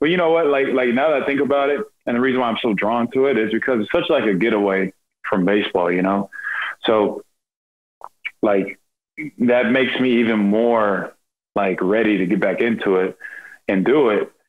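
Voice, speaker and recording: A man with a Texan accent talks at a moderate pace, his loudness very even. He leaves long, frequent pauses over a quiet background. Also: ordinary pitch variation. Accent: Texan American English. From Texas, Rockwall and Royse City area; Texas. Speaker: professional baseball pitcher; podcast guest. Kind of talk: casual interview chat. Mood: relaxed, reflective. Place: home room. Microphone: video call.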